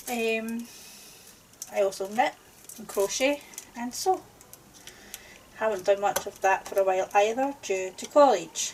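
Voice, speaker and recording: Over noticeable background noise, a woman with a Scottish accent speaks at a fairly slow pace in a fairly high pitch, with ordinary pitch variation, big swings in loudness and long, frequent pauses. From Scotland. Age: 40s. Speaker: crafting YouTuber. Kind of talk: casual chat. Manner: hesitant, with fillers.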